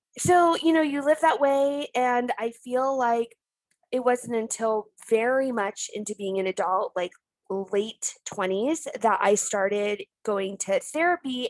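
Loud and high in pitch, a woman's voice comes through dry and close, with no echo. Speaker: YouTuber. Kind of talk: casual chat.

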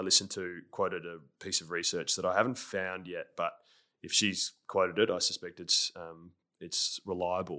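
A man with an Australian accent shows big swings in loudness on a very clean recording with a silent background. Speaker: former pro footballer, leadership coach. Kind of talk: interview conversation. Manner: sometimes fast.

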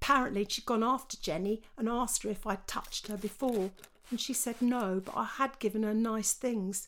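A passage is read aloud. The voice is natural.

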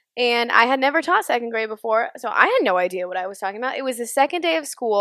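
Talking at a very fast pace, a woman has a fairly high pitch, a bright, sharp tone and lively intonation. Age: 20s. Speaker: podcast co-host. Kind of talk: casual chat.

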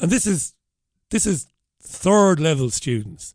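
The delivery has an animated tone and a strong Irish accent. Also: man. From Ireland. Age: 50s. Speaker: radio show host. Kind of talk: casual talk radio. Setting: studio.

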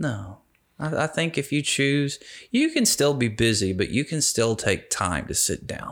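With vocal fry and a fairly high pitch, a man speaks at a fairly slow pace through very wide pitch swings in a very clean recording with a silent background. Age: 30s. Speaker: city council candidate, veteran. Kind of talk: casual interview.

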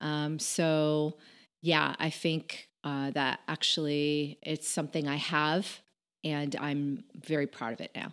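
A woman with an American accent speaks at a very slow pace in a very deep, low pitch, her intonation fairly even against a quiet background. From Connecticut, US. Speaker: podcaster and entrepreneur. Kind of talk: casual interview chat.

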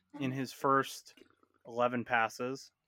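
A man with an American accent and a plain, everyday voice speaks at a fairly slow pace with a fairly high pitch. The sound is dry and close with no echo. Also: very clean recording, silent background. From Indiana. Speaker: sports podcast host. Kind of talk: casual sports chat. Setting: home bedroom.

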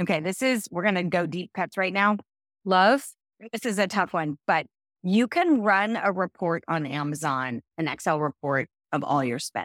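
A woman with an American accent speaks at a medium pitch and moderate pace, with an animated tone and lively intonation, in a dry, close, very clean recording with a silent background. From US, Central California. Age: 50s. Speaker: decluttering expert and author. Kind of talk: interview.

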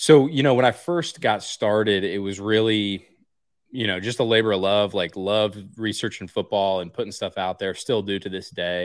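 This is an unremarkable speaking voice: a man with an American accent at a fairly quick pace. His pitch is fairly low, with ordinary pitch variation. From central Pennsylvania. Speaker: football coach. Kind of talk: casual chat. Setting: video call.

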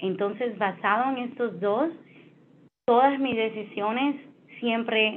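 A woman speaks at a fairly slow pace with a strong Spanish accent. Her pitch varies in an ordinary way. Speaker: finance executive. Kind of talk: interview. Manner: halting, many fillers.

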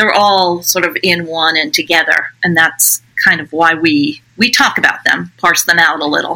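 Her voice a normal speaking voice, a woman talks at a moderate pace and fairly low pitch, with ordinary pitch variation and hardly any pauses. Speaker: author and former school counselor. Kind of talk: interview.

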